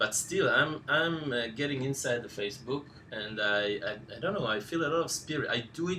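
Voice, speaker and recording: Noticeable background noise accompanies a man speaking with a non-native accent. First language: not English. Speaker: course instructor. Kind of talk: live Q&A session. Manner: halting, many fillers.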